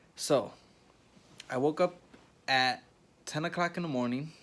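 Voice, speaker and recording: Speaking quietly at a moderate pace, a man uses ordinary pitch variation. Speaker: vlogger. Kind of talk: casual vlog storytelling. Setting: hospital room. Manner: talking quietly.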